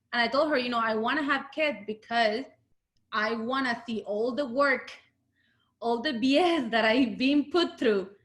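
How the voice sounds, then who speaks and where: A woman with a Latin American accent, high pitch, ordinary pitch variation and a moderate pace. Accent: Latin American Spanish accent, noticeable. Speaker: UX design lead. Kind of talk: interview talk. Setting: video call. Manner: halting, many fillers.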